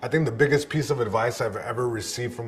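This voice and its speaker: A man with a Spanish accent, medium in pitch, with ordinary pitch variation. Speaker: stand-up comedian and caregiver. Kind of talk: interview testimony.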